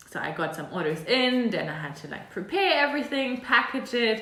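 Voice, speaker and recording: With a German accent, a woman speaks in a high voice amid noticeable background noise and audible room echo. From Germany. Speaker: e-commerce consultant and video creator. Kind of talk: tutorial. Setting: home apartment. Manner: casual, conversational with fillers.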